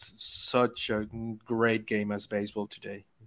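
Speaking in a Spanish accent, a man keeps to a moderate pace. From Venezuela. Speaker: baseball analytics writer. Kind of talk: casual interview chat. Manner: halting, many repeated words.

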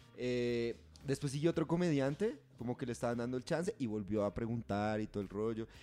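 With music in the background, a man at medium pitch talks at a fairly quick pace with lively intonation. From Catatumbo region, Colombia (Convención, near Cesar). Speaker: podcast host. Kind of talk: casual chat.

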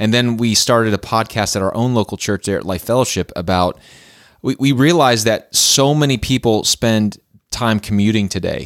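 Speaking with an American accent, a man talks at medium pitch and a moderate pace with ordinary pitch variation, in a very clean recording with a silent background and a dry, close sound with no echo. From northeastern Pennsylvania. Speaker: pastor. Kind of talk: casual chat.

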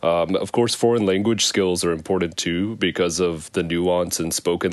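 A man's very deep, low voice at a moderate pace. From Arkansas. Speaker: economic development director. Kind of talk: interview. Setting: remote from Japan.

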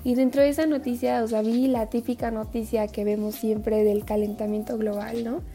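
Speaking with a central Mexican accent, the voice runs on with hardly any pauses and fairly even intonation over noticeable background noise. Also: woman, fairly high pitch for a woman, moderate pace. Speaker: environmental activist and student. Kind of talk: casual interview chat. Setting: video call.

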